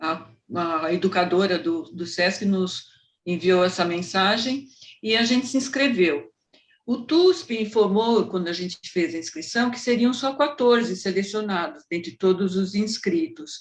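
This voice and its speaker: Her intonation is lively as this woman speaks at a medium pitch and a fairly slow pace. The voice is somewhat breathy. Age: 60s. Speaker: amateur theatre actress, retiree. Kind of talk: interview.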